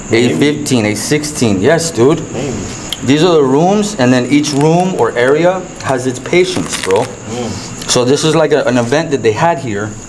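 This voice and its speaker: Against noticeable background noise, the speech unfolds fairly slowly. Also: man. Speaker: ghost-hunting explorer. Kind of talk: casual exploration chat. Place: empty room. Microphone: phone near.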